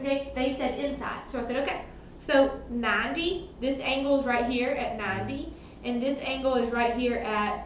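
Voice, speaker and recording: This woman talks loudly at a moderate pace, her high pitch following a fairly even intonation. Audible room echo and noticeable background noise are present. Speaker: math teacher. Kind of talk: classroom lesson. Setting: classroom with students, recorded on computer. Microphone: computer mic, far from speaker.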